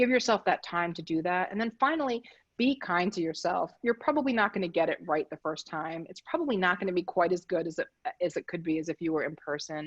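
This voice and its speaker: The speech comes very fast, with lively intonation and an American accent. The sound is dry and close, with no echo. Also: woman, fairly low pitch for a woman. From Philadelphia, Pennsylvania. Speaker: design practice lead, presenter. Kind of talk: presentation. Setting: video call from home.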